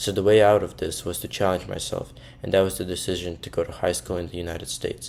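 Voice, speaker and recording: In a Russian accent, a man with a very deep, low voice talks at a fairly quick pace in a monotone, flat way. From Russia, Moscow. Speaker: university student. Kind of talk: personal storytelling monologue.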